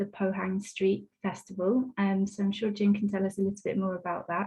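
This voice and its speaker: A woman speaks fairly quickly at a medium pitch, her somewhat breathy voice dark and mellow in tone with monotone, flat intonation. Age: 30s. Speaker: arts project manager, webinar host. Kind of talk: webinar introduction.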